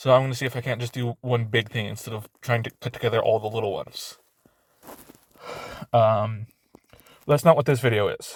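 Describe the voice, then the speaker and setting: In a dry, close recording with no echo, a somewhat breathy man of medium pitch talks at a fairly quick pace with fairly even intonation and long, frequent pauses. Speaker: YouTuber. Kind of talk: casual vlog monologue. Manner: halting, stuttering.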